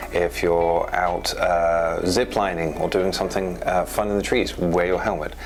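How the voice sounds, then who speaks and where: A man with a very deep, low pitch talks at a fairly slow pace with hardly any pauses and very even loudness. Audible room echo and noticeable background noise fill the recording. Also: fairly even intonation. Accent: English. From England. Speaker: trauma surgeon. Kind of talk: interview. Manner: hesitant, many fillers.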